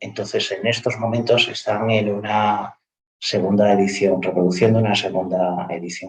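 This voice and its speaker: A man with a fairly low pitch speaks somewhat breathily at a moderate pace, keeping his intonation fairly even. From Andalusia, Cádiz. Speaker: university professor. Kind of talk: panel discussion.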